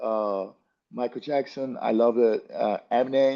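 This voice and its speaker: A dark, mellow tone carries this voice, spoken at a moderate pace with a Brazilian accent. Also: man. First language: Portuguese. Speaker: jiu-jitsu athlete. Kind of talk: interview. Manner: halting, many fillers and restarts.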